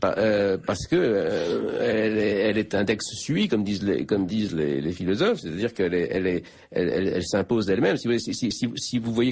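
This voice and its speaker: Speaking very fast, a man uses a fairly low pitch that rises and falls in an ordinary way. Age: 60s. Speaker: philosophy professor, author. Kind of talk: radio interview. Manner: halting, many repetitions and hesitations.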